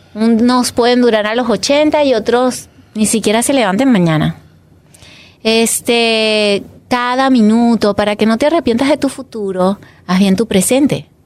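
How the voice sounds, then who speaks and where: A woman speaks with a Venezuelan accent in a fairly high pitch. Her loudness stays very even. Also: ordinary pitch variation, fairly slow pace. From Venezuela, Caracas. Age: 40s. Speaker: photographer. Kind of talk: casual chat.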